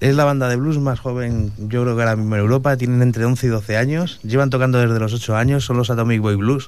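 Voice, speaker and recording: In a room with audible echo, a man talks at a very fast pace with hardly any pauses, using a medium pitch, fairly even intonation and very even loudness. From Madrid, Spain (Usera). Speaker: venue owner and event organizer. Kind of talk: radio interview.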